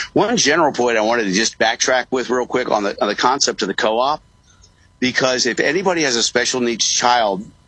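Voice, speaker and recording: Using an ordinary speaking voice, a man talks at a fairly quick pace and medium pitch with ordinary pitch variation and very even loudness. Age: 60s. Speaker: real estate broker and parent advocate. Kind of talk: radio interview. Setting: remote call from a coffee shop.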